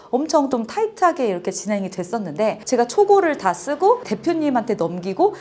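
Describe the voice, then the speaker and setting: A woman speaks at a moderate pace with a fairly high pitch. Her pitch swings very widely over noticeable background noise. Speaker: author and business owner. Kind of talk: interview testimony.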